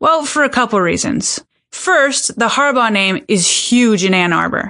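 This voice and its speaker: Against a quiet background, a woman uses a normal speaking voice with a fairly high pitch and lively intonation at a moderate pace. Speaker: podcast host. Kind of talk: scripted narration.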